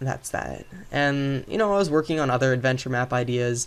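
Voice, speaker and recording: Ordinary pitch variation and a moderate tempo in a man's mid-range voice. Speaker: gaming video creator. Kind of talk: gameplay commentary. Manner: casual, rambling with fillers.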